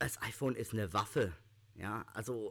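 With a plain, everyday voice, a man speaks at a fairly slow pace using lively intonation. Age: 30s. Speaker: law student with visual impairment. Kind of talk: interview.

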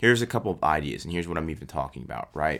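On a very clean recording with a silent background, a man speaks in an energetic tone at a very deep, low pitch. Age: 20s. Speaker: podcast host, lawn care business owner. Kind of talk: solo podcast, business advice. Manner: casual, energetic.

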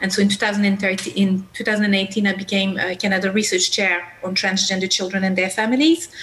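At a moderate pace with hardly any pauses, a woman speaks in a medium pitch with fairly even intonation over noticeable background noise. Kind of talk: panel discussion. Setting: video call.

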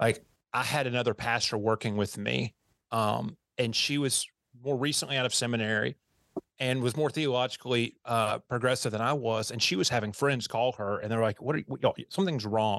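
Over a quiet background, a man with an American accent talks fairly quickly in an unremarkable speaking voice at a medium pitch with ordinary pitch variation, the sound dry and close with no echo. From US South. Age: 40s. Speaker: pastor and church consultant. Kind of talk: interview conversation. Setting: video call.

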